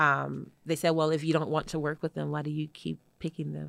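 A woman with an American accent, fairly quick pace, and dry, close sound with no echo. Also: very clean recording, silent background. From Detroit, US Midwest. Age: young. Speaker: entrepreneur and event designer. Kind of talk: interview. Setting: studio.

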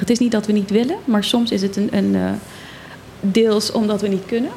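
A woman with a fairly high pitch at a moderate pace, amid noticeable background noise. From Netherlands, Zwolle. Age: 30s. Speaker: island politician. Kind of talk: radio interview.

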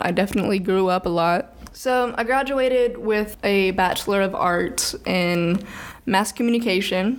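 Using a normal speaking voice and an American accent, a woman talks at a moderate pace and medium pitch, with ordinary pitch variation and very even loudness. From US South, Birmingham, Alabama. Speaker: podcast host. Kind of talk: solo podcast monologue on philosophy.

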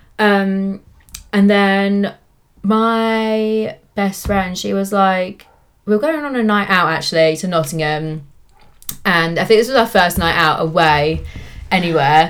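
A woman's medium-pitched voice with ordinary pitch variation, a fairly slow pace, and a southern English accent. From England, Cambridge. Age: 20s. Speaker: lash technician and business owner. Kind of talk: casual chat. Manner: animated, frequent laughter.

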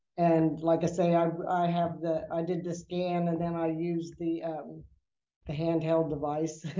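Amid audible room echo, a woman with a fairly low pitch speaks at a fairly slow pace in a monotone, flat intonation. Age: 60s. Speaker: registered nurse. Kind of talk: casual health interview.

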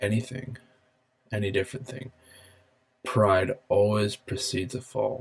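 Somewhat breathy and medium in pitch, a man talks at a fairly slow pace with fairly even intonation. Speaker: podcaster. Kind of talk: casual solo podcast monologue. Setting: home office, recording alone. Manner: rambling, filler words, casual.

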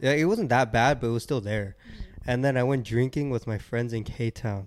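A man speaks at a moderate pace and medium pitch. It is a normal speaking voice. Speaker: podcast host. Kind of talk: casual chat.

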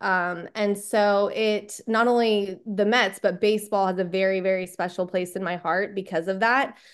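Speaking at a moderate pace with a Texan accent, a woman keeps a medium pitch and fairly even intonation against a quiet background. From Texas. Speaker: sports podcast staff member. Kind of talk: casual interview chat.

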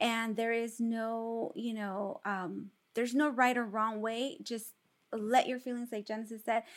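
The recording is very clean, with a silent background. A woman with a fairly high pitch and an unremarkable speaking voice talks at a fairly slow pace with fairly even intonation. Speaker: podcast co-host. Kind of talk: casual chat.

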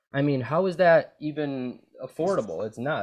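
A man is speaking. His intonation is lively. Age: 20s. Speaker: podcast host. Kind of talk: casual chat. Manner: animated.

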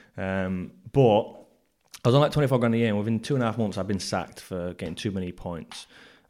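In a very clean recording with a silent background, a man with an English accent speaks very fast in a dark, mellow tone. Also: fairly low pitch for a man, ordinary pitch variation. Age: 20s. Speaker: podcast host. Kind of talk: casual chat.

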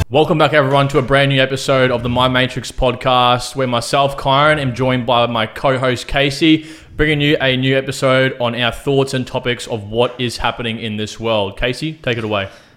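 A man with a normal speaking voice talks at a fairly quick pace with hardly any pauses, in a medium pitch with fairly even intonation. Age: 20s. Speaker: podcast co-host. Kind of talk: casual chat.

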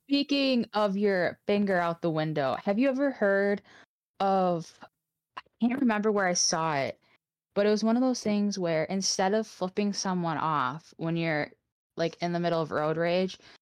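A woman with an ordinary speaking voice and an American accent talks at a medium pitch and moderate pace, with lively intonation, very even loudness and a dry, close sound with no echo. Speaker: podcast co-host. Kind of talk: casual chat.

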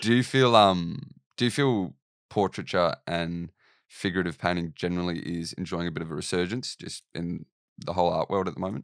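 At a fairly quick pace, a man with an Australian accent and a very deep, low pitch speaks with ordinary pitch variation in a very clean, dry, close recording with no echo and a silent background. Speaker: podcast host and painter. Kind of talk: interview. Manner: hesitant, many fillers.

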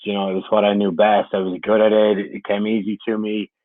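A man speaks with an Irish accent. His pitch is fairly low. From Ireland. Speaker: camp counselor. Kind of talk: casual interview.

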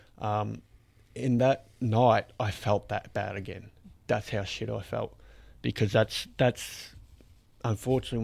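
Recorded very cleanly against a silent background, a man with an Australian accent speaks at a moderate pace. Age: 30s. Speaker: podcast host. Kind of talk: casual chat.

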